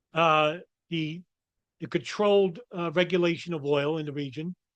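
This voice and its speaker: With a New York accent, a man speaks at a moderate pace with fairly high pitch, fairly even intonation and long, frequent pauses. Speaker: political commentator. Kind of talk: commentary monologue. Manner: halting.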